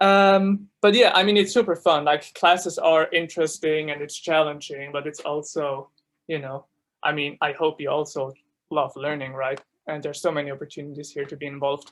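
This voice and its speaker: Someone speaks at a fairly quick pace with a German accent. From Switzerland (Zurich). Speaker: student ambassador. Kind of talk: informational presentation. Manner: casual, many fillers.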